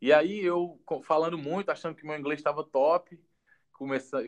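A man speaks at a moderate pace in an unremarkable speaking voice, fairly high in pitch with fairly even intonation. The sound is dry and close with no echo, over a quiet background. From Ceará, Brazil (Juazeiro do Norte). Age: 20s. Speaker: goalkeeper and football coach. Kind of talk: casual interview on a livestream. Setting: online live video stream. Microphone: low quality audio ripped from video.

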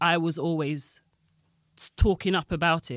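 Someone with a London accent speaks at a fairly slow pace in a very clean recording with a silent background. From Jamaica and London. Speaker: railway union rep and Tube worker. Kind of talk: casual interview chat. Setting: studio.

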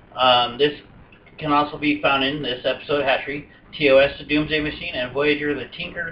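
The speech moves at a moderate pace. The intonation stays flat and monotone. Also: man. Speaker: podcast host. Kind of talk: casual chat.

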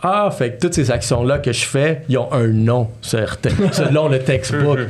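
Amid noticeable background noise and audible room echo, a man speaks at a fairly slow pace with a medium pitch. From Montreal, Quebec (childhood partly in New York). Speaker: entrepreneur and podcast host. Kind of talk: casual interview chat.

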